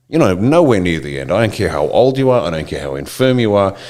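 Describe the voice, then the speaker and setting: With an Australian accent, this speaker sounds animated, using lively intonation at a fairly quick pace. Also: man. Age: 60s. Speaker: political commentator. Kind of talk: impassioned monologue.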